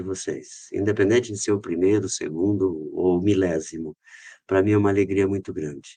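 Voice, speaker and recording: A man's dark, mellow tone at a moderate pace, with ordinary pitch variation and a quiet background. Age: 60s. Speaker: company director, podcast guest. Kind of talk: podcast interview. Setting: studio.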